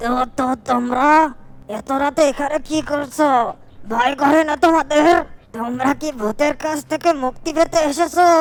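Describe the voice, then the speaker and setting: At a moderate pace, a cartoonish character voice comes through with a high pitch. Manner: soft, sad.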